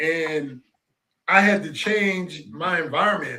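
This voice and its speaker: Raising and projecting his voice, a man speaks in a bright, sharp tone with ordinary pitch variation. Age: 60s. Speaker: talk show host. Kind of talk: casual chat.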